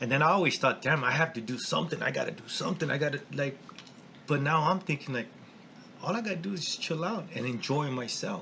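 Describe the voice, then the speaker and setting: An animated man with a fairly high pitch at a very fast pace, with ordinary pitch variation over noticeable background noise. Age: 40s. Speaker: tattoo shop owner. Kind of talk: casual chat.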